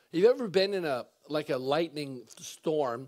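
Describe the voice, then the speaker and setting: A man speaks at a fairly slow pace in a quiet background. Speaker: pastor. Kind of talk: sermon. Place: church.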